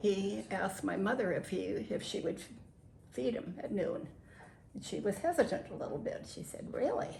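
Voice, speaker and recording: A woman with an American accent speaks at a moderate pace, leaving long, frequent pauses. Noticeable background noise and audible room echo fill the recording. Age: 80s+. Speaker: WW2-era farm witness. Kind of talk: interview.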